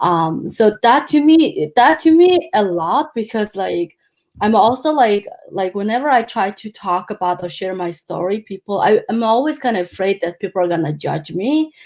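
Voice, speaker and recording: With a Mongolian accent, a woman speaks at a moderate pace in a fairly high pitch that makes very wide swings. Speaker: life coach. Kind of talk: interview. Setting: live video stream. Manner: halting, many fillers.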